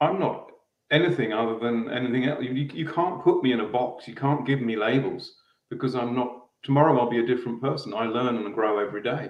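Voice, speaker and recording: Speaking with an Australian accent, a man talks at a very fast pace with ordinary pitch variation. Audible room echo surrounds his voice. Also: medium pitch for a man. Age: middle-aged. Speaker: guest. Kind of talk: casual conversation.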